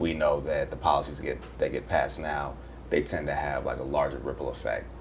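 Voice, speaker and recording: The room gives the voice an audible echo. This man's delivery is fairly quick. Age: 30s. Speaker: panel guest. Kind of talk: panel discussion.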